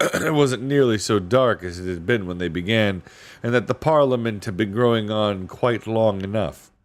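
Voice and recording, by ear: Reading aloud in a natural voice, with everyday pitch movement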